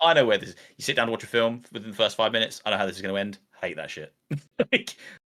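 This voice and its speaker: A man with a British accent and a bright, sharp tone, medium in pitch with ordinary pitch variation, at a very fast pace with big swings in loudness. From Britain. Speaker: VR content creator, YouTuber. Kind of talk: casual interview chat.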